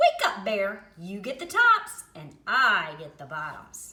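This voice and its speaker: A woman's put-on character voice at a medium pitch and a fairly slow pace. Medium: read story. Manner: sly, smooth-talking.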